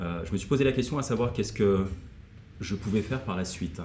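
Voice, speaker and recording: Recorded with audible room echo, a man speaks at a fairly quick pace in a dark, mellow, somewhat breathy tone with ordinary pitch variation. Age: 40s. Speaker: motivational coach and former kung fu athlete. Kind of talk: casual interview.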